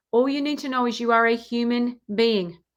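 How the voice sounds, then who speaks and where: A woman with an Australian accent and fairly high pitch, at a moderate pace, on a very clean recording with a silent background. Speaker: relationship coach. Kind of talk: live Q&A monologue with program pitch. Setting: livestream.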